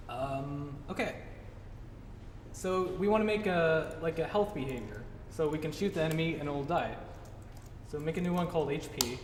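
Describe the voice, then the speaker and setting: A man's fairly high voice with ordinary pitch variation, long and frequent pauses, audible room echo and noticeable background noise. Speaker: game developer giving a talk. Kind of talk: tutorial talk at a meetup. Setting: live presentation to a meetup audience. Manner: fast; casual, many fillers.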